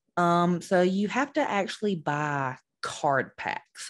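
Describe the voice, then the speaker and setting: A woman with a Southern US accent speaks at a fairly low pitch with lively intonation. The background is quiet. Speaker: esports podcast host. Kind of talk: podcast monologue. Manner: many fillers and hesitations.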